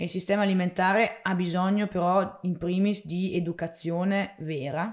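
The recording is very clean, with a silent background. A woman speaks at a moderate pace and medium pitch, in a monotone, flat intonation. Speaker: vegetable farmer. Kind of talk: interview. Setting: on the family farm.

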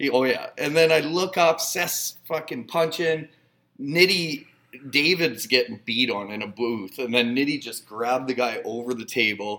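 Lively intonation marks this man's medium-pitched voice, which has a bright, sharp tone. He speaks at a moderate pace with a Canadian Prairies accent. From northern Saskatchewan, Canada. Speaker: bar manager. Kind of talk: casual chat.

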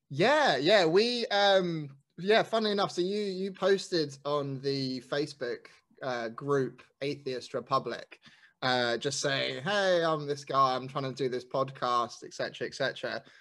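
Delivered at a very slow pace in a London accent, the speech has lively intonation on a very clean recording with a silent background. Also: man, fairly high pitch for a man. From South London, England. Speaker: guest. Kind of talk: casual chat.

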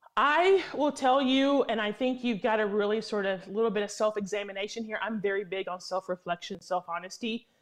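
A woman with a plain, everyday voice speaks at a fairly high pitch and a fairly quick pace, with hardly any pauses. Her pitch variation is ordinary, and the background is quiet. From Tennessee, US. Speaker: lobbyist. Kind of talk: interview. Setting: remote call from D.C.

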